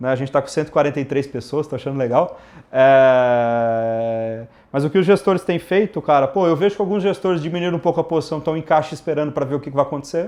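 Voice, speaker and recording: With a fairly high pitch and ordinary pitch variation, a man speaks at a very fast pace. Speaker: investment firm co-founder. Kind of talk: live Q&A stream. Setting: online livestream. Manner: casual, animated.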